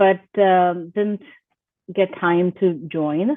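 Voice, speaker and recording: A woman speaks with an Indian accent and ordinary pitch variation. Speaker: IT business owner. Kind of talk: interview.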